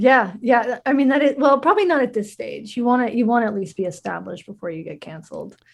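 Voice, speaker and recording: A woman with an American accent, high-pitched and very fast, with lively intonation, hardly any pauses, and big swings in loudness. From US South. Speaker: journalist and podcaster. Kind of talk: interview. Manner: halting with many fillers.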